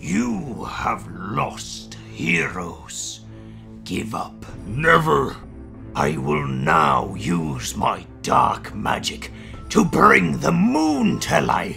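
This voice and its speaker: A man puts on a character voice and speaks very slowly, with clear music in the background. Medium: dub. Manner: smug, gloating.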